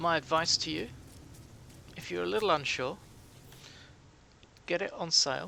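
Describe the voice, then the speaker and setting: A man's relaxed, bright, sharp voice with vocal fry, lively intonation and a British accent, at a moderate pace. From Britain. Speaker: gaming streamer. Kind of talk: live game stream commentary. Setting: live stream. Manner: soothing and calming; relaxed, chatty.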